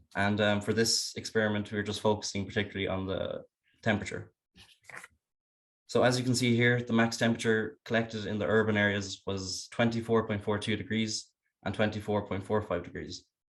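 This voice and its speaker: A man with a western Irish accent talks at a fairly quick pace. His voice is fairly low, with monotone, flat intonation. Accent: Irish (west of Ireland). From western Ireland, County Galway. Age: 20s. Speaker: university student. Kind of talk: student presentation.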